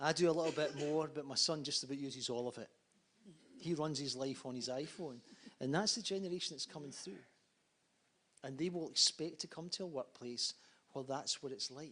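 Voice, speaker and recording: Speaking at a fairly quick pace with long, frequent pauses, a man uses a bright, sharp tone and ordinary pitch variation. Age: 50s. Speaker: conference panelist. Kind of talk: panel discussion.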